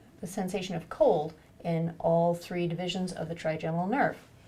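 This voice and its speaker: Fairly low in pitch, a woman talks at a fairly quick pace in a dark, mellow, calm and gentle tone, somewhat breathy. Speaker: neuro-ophthalmologist doctor. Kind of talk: clinical exam demonstration, instructional. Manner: calm, clear, gentle.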